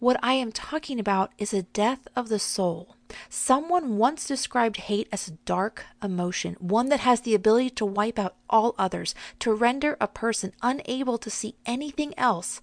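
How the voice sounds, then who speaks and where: At a moderate pace, an unremarkable speaking voice with ordinary pitch variation comes through with a dry, close sound, no echo, and a quiet background. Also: woman, fairly high pitch for a woman. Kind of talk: devotional teaching.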